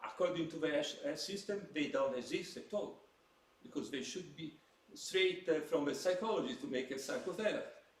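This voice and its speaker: A high-pitched man speaks with lively intonation, and audible room echo surrounds his voice. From Italy. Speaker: psychiatrist. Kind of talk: lecture. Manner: halting.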